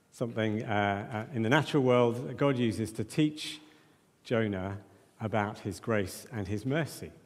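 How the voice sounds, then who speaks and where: Audible room echo surrounds a man speaking at medium pitch and a moderate pace, with ordinary pitch variation. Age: 40s. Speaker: preacher. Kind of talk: sermon. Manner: halting.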